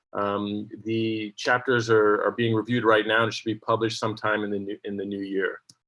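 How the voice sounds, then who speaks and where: A man with an American accent speaks fairly quickly at a medium pitch, in an ordinary speaking voice. The background is quiet. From USA, New York. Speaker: surgeon and journal editor. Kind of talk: conference talk. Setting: online webinar, on vacation.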